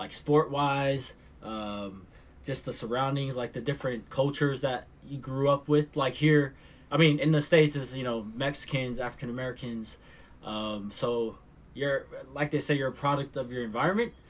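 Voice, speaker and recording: An ordinary speaking voice, a man at a moderate pace with fairly even intonation. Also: medium pitch for a man. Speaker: musician. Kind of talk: casual chat.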